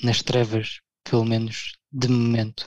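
Dry and close with no echo, a man's medium-pitched voice stays monotone and flat. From Portugal. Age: 30s. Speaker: blogger. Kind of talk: casual chat.

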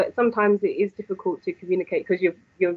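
With a London accent, a woman talks at a very fast pace. Her pitch variation is ordinary. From London, England. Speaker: university lecturer in digital marketing. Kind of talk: interview. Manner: hesitant, many fillers. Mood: warm, encouraging. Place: home room. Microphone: video call.

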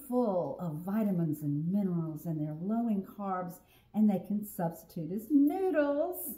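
A woman speaks very slowly in a dark, mellow, somewhat breathy tone. Audible room echo surrounds her voice. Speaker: home cook host. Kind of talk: casual cooking tutorial chat. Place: kitchen. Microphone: camera far.

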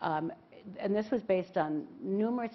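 A woman with an American accent speaks at a moderate pace, her pitch rising and falling in an ordinary way. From New York. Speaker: philanthropist; panelist. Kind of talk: panel talk. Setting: stage with audience. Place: stage. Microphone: lapel.

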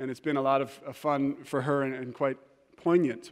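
Over a quiet background, the words come at a moderate pace. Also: man. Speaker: preacher. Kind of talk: sermon. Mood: humorous, warm storytelling. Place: church.

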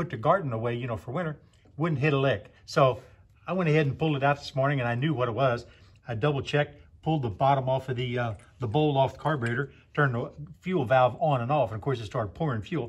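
Somewhat breathy, a man speaks at a very fast pace. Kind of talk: casual repair explanation. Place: garage.

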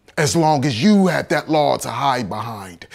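The background is quiet. Over it, a man's speech runs at a moderate pace. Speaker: actor playing an accused slave. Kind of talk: dramatic monologue. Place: home room.

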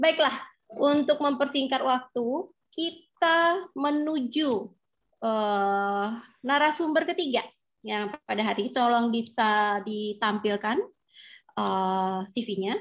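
A woman's high-pitched voice at a very slow pace against a quiet background. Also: lively intonation. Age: 40s. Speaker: dermatologist and moderator; moderator. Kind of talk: webinar moderation. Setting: video call. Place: home room. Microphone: video call.

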